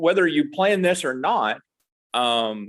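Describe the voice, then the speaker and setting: A man with an American accent speaks at a very slow pace. His voice is high-pitched. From US South, East Tennessee mountains. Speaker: hockey writer and fan guest. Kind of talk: casual chat.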